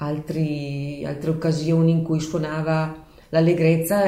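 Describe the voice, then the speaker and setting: In a room with audible echo, a woman speaks at a fairly slow pace in a very deep, low pitch, with a dark, mellow tone and monotone, flat intonation. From Leffe, Bergamo province, northern Italy. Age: 60s. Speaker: bell-ringer's daughter, local enthusiast. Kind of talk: interview.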